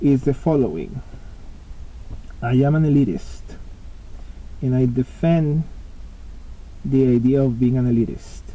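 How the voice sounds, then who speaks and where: A man's dark, mellow voice with a Spanish accent, fairly high in pitch, ordinary in pitch variation, at a fairly slow pace. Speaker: pipe smoking vlogger. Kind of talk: casual monologue vlog. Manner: halting, with many fillers.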